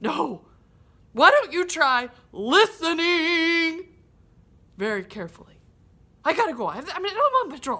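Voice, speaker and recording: A woman's cartoonish character voice, extremely high-pitched and raised and projected, at a moderate pace with long, frequent pauses. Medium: puppet. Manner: patient.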